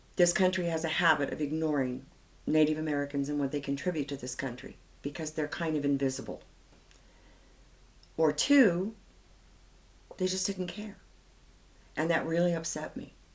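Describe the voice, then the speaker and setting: A woman with a very deep, low voice speaks at a moderate pace. She takes long, frequent pauses. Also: ordinary pitch variation. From Colorado, US. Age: 70s. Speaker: author. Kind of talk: interview.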